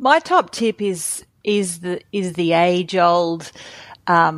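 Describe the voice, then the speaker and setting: The speaker has an Australian accent. The recording is very clean with a silent background and a dry, close sound with no echo. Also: woman. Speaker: company founder. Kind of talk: interview.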